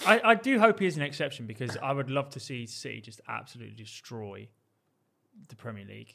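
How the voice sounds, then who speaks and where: Talking at a very fast pace, a man shows a bright, sharp tone, vocal fry, very wide pitch swings and big swings in loudness. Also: medium pitch for a man. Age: 20s. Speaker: podcast co-host. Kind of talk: casual chat.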